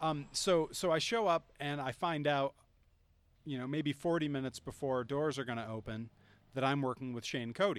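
A man with an American accent speaks at a moderate pace in an ordinary speaking voice, his fairly high pitch moving with ordinary variation on a very clean recording with a silent background. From Greenfield, Massachusetts. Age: 30s. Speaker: professional wrestler. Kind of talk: casual chat. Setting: outdoors.

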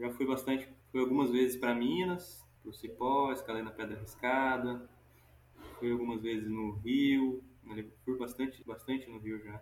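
Using a normal speaking voice, a man speaks slowly-ish at a medium pitch, his intonation fairly even and his pace fairly slow. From Goiás, Brazil. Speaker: climbing instructor. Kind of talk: casual interview. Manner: casual, relaxed.

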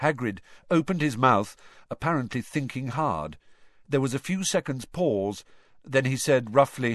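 The intonation is lively throughout this unforced reading voice.

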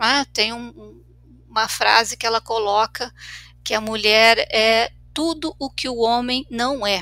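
Her voice bright and sharp, a woman talks very slowly in a fairly high pitch with fairly even intonation, on a very clean recording with a silent background. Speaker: clinical psychologist. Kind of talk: casual discussion podcast. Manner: frequent fillers and repetitions.

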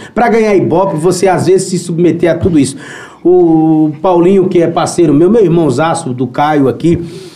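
The speech moves at a moderate pace with ordinary pitch variation, carrying audible room echo and noticeable background noise. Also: man, high pitch for a man, very even loudness. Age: 30s. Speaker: musician. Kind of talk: casual chat.

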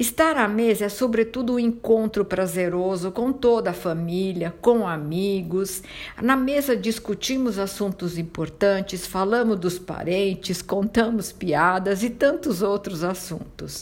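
A woman of medium pitch speaks at a fairly slow pace with hardly any pauses and ordinary pitch variation. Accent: Italian. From southern Italy, Calabria. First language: Italian (speaking Portuguese). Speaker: podcast host on Italian culture. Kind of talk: scripted narration.

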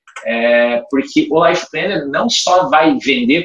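A man is talking here. His pitch rises and falls over a very wide range. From Paraná, Brazil. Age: 30s. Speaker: life insurance franchise manager. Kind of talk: casual chat.

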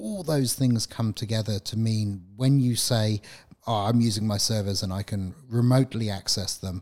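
A man speaks at a fairly quick pace in an unremarkable speaking voice, his pitch fairly low and his intonation fairly even. The recording is very clean, with a silent background. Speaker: IT professional, podcast co-host. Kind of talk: casual chat.

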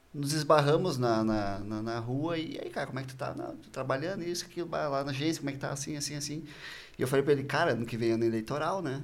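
A man with a fairly high pitch speaks at a very fast pace. His pitch variation is ordinary, and audible room echo surrounds him. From Porto Alegre, southern Brazil. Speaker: marketing agency co-founder. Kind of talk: casual interview chat.

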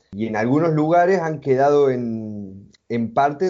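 Here is a man with an unremarkable speaking voice. His pitch is medium, with ordinary pitch variation. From Argentina, Córdoba province. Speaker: multimedia designer and traveler. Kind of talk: interview.

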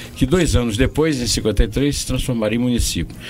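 Behind this man speaking there is noticeable background noise. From Brazilian Northeast, Paraíba sertão. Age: 70s. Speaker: journalist and poet. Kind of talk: interview. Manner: halting.

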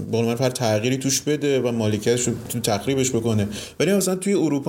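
Over noticeable noise in the background, a man talks with lively intonation. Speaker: architect and podcast co-host. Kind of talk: casual chat.

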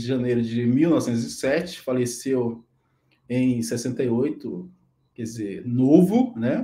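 A dark, mellow tone fills the speech. The speaker is a man. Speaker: live stream host. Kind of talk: biographical presentation; casual chat. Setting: live stream.

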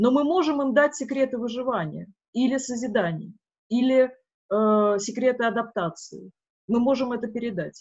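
A woman with a high-pitched voice speaks with long, frequent pauses. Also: ordinary pitch variation, moderate pace. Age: 40s. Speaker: filmmaker and forum moderator. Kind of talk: interview. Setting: forum event.

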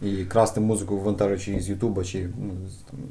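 Audible room echo surrounds a man speaking at a fairly low pitch. His pitch shows ordinary variation. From Ukraine, Kyiv (Borshchahivka). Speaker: game localization organization founder. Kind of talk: casual chat.

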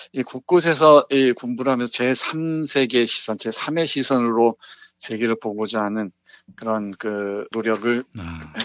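A man talks very slowly, his medium-pitched voice rising and falling in an ordinary way. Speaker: literature professor. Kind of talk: book review discussion. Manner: laughs often.

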